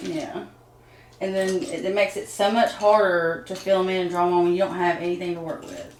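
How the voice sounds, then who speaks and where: The speaker talks at a fairly quick pace with ordinary pitch variation, and there is noticeable background noise. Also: woman, medium pitch for a woman. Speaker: guest, the host's sister. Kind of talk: casual conversation on camera.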